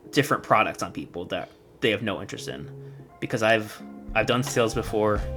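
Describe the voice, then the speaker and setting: Music plays behind a man with a medium pitch. He talks at a fairly quick pace with lively intonation. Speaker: gaming and film YouTuber. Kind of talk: casual talk to camera. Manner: stuttering.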